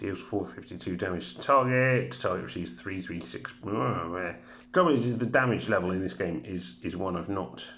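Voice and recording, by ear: Reading aloud in a natural voice fills the clip.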